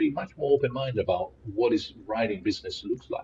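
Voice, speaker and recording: Speaking with an Italian accent, a man talks at a fairly quick pace. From Italy. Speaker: philosopher and professor. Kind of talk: podcast interview.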